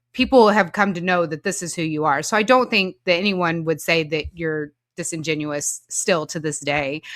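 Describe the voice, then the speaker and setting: Speaking at a moderate pace with hardly any pauses, a woman with an American accent has an unremarkable speaking voice, a fairly low pitch and ordinary pitch variation, on a very clean recording with a silent background. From Oklahoma, Moore. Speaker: podcast host. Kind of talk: podcast interview.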